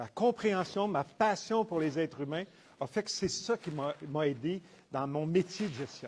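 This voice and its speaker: Lively intonation marks this fairly slow delivery in a Quebec accent. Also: man. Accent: Québécois French. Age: 70s. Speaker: entrepreneur and business professor. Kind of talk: testimony. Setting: conference talk with audience.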